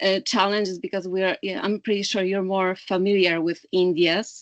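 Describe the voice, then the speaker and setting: In a Polish accent, a woman speaks at medium pitch with a dry, close sound and no echo. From Poland. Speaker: clean energy analyst. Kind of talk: webinar talk. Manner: halting, many fillers.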